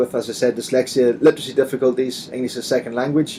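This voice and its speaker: A man with a Northern Irish accent, over noticeable background noise. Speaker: assistive software company trainer presenting. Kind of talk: webinar presentation.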